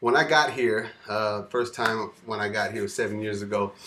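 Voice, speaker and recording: Amid noticeable background noise, a man with an American accent talks at a fairly quick pace in a fairly low pitch with fairly even intonation. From California, US. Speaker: security guard and freestyle vlogger. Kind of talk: casual monologue vlog. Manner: hesitant, many fillers.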